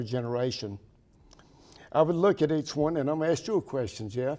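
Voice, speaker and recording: With a North Carolina accent, a man speaks at a fairly quick pace in a dark, mellow tone at a fairly high pitch. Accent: southern US, rural North Carolina. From US South, Pembroke, North Carolina. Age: 70s. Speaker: town mayor. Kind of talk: interview.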